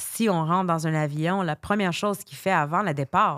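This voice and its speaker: A woman talks at a fairly quick pace. The recording is very clean with a silent background and a dry, close sound with no echo. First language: English (speaking French). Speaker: life coach. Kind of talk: interview. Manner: halting.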